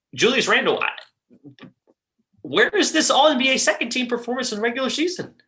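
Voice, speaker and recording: A raised, projected voice with a bright, sharp tone and lively intonation, fairly quick in pace yet broken by long, frequent pauses. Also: man, extremely high pitch for a man. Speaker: sports podcast co-host. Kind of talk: casual sports discussion. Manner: halting, stuttering.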